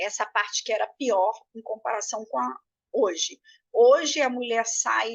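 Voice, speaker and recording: Speaking rather slowly, the woman has a high-pitched voice. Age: 60s. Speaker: breastfeeding consultant and course teacher. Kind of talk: lecture. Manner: hesitant with frequent fillers.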